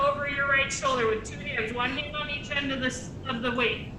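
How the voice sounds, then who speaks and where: A woman's raised, projected voice at a high pitch, monotone and flat in intonation, with noticeable background noise and audible room echo. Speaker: exercise class instructor. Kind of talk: guided exercise class. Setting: video call. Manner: loud.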